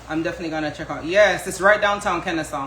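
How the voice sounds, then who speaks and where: A woman with a Jamaican accent speaks in an animated tone with lively intonation, with audible room echo and noticeable background noise. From Jamaica, moved to US at seven. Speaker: home cook, social media creator. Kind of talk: live cooking stream, casual chat with viewers.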